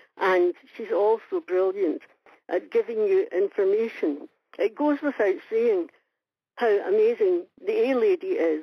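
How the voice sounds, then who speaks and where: Speaking at a fairly slow pace with a Scottish accent, this woman has a fairly high pitch and very wide pitch swings. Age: 70s. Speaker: listener leaving a voicemail. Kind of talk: voicemail message. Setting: phone call.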